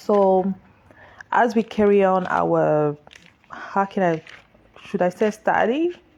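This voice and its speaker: Speaking very slowly with a French accent, a woman leaves long, frequent pauses, her loudness very even and her pitch varying normally. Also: medium pitch for a woman. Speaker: author. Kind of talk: social media livestream talk. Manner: halting.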